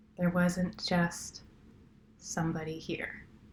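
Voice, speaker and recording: The speech moves at a very slow pace in a relaxed tone. The voice is somewhat breathy. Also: woman. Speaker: sleep story narrator. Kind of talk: sleep story, casual campfire-style storytelling. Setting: recorded on a laptop outside a studio, some background noise. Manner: relaxed, casual, unhurried.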